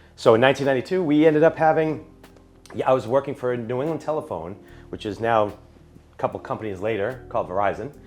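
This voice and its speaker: Over music in the background, a man with an American accent talks at a very fast pace, his medium pitch carried by lively intonation. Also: long, frequent pauses. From Florida, US. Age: 40s. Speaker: DJ and event announcer. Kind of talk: podcast interview. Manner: conversational.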